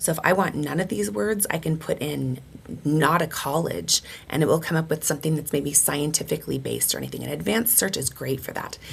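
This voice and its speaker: Over noticeable background noise, a woman speaks at a fairly quick pace with an enthusiastic tone. Her very deep, low pitch moves with lively intonation. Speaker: teacher. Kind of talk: online course tutorial.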